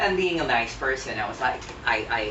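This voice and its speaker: Music plays in the background. The speaker has an American accent and a moderate pace. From USA. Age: 40s. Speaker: interviewee. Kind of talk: interview. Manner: hesitant, many fillers.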